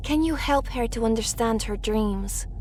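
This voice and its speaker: A woman's put-on character voice, fairly high in pitch, at a moderate pace over clear background noise. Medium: audio drama. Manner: plain, simple speech.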